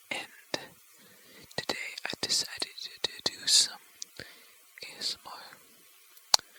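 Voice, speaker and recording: In a whisper broken by long, frequent pauses, someone talks at a very slow pace against noticeable background noise. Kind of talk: ASMR, rambling casual talk. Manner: whispered.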